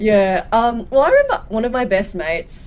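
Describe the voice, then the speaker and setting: This woman has an Australian accent. She talks at a moderate pace with ordinary pitch variation. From Australia, Sydney. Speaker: podcast host, nurse. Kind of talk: casual interview.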